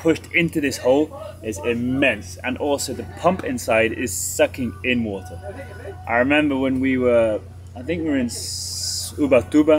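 Faint music plays in the background as a man talks at a moderate pace, his loudness swinging widely. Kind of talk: casual vlog explanation. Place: open country.

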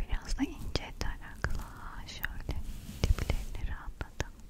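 Someone soft-spoken whispers at a fairly slow pace, with a dry sound with no echo and loud background noise. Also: woman. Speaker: ASMR creator. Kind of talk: soft-spoken ASMR role-play. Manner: soft close-mic ASMR whisper. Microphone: studio mic.

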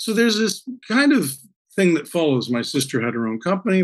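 A man with a Canadian accent swings his pitch very widely. Behind him the background stays quiet. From Canada. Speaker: actor. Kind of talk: interview answer. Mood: warm, reflective. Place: home room. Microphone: webcam.

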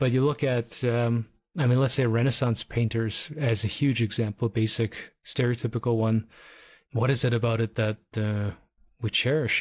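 A man with a Canadian accent, somewhat breathy at medium pitch, fairly quick with fairly even intonation, in a very clean recording with a silent background. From Toronto, Canada. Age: middle-aged. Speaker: podcast host, photographer. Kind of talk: casual chat.

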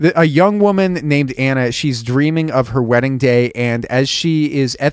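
Someone is reading aloud in a natural voice. The words are read rather than spoken freely.

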